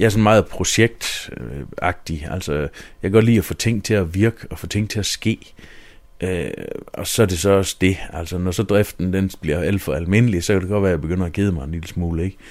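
A man speaks at a moderate pace with a very deep, low pitch and ordinary pitch variation. The recording is very clean, with a silent background. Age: 30s. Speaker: mayor and local politician. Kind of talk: interview.

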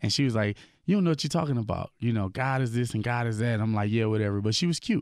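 Speaking very fast, a man uses ordinary pitch variation. The background is silent and the recording very clean. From Milwaukee, Wisconsin (born in Peoria, Illinois). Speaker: gospel hip hop artist. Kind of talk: casual radio interview, testimony.

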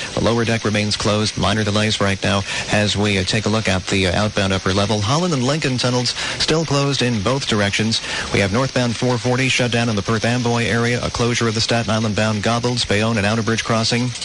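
Against noticeable background noise, a man talks at a fairly quick pace with medium pitch, fairly even intonation and very even loudness. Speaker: traffic reporter. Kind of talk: traffic report. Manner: rapid, clipped listing of closures.

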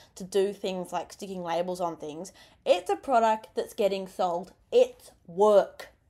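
The speaker talks at a moderate pace with an Australian accent. The recording is very clean, with a silent background. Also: woman. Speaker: youth radio host. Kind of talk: radio interview. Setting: radio studio. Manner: animated.

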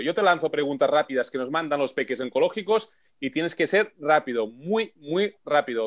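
A man talks fairly quickly at a fairly high pitch. His tone is animated and his intonation lively. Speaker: radio host and olympic bobsleigh pilot. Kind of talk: radio show hosting.

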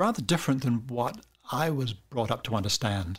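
At a fairly quick pace, a man with a somewhat breathy, medium-pitched voice speaks with lively intonation in a very clean recording with a silent background. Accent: New Zealand. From New Zealand. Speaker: cartoonist and author. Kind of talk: interview.

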